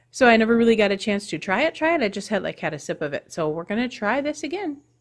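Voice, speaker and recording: A woman's fairly high voice, quiet, with very wide pitch swings. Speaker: weight loss vlogger. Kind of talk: casual vlog.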